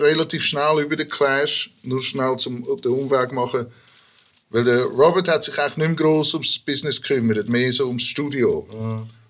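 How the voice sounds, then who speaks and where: A man's fairly high-pitched voice at a moderate pace, with fairly even intonation. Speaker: rapper and hip-hop producer. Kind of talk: casual chat.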